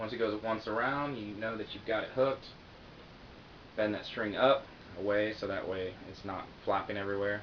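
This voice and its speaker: The man's voice sits fairly low in pitch and moves at a moderate pace, broken by long, frequent pauses. His loudness swings widely, and audible room echo surrounds it. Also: fairly even intonation. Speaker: guitar teacher. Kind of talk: tutorial. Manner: casual.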